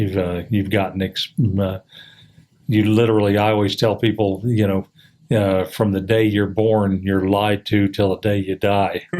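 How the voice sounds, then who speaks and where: Speech in an American accent comes at a moderate pace with very even loudness and monotone, flat intonation. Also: man, fairly low pitch for a man. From US Midwest, Indianapolis. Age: 60s. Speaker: podcast guest. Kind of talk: casual chat. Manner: halting, many fillers.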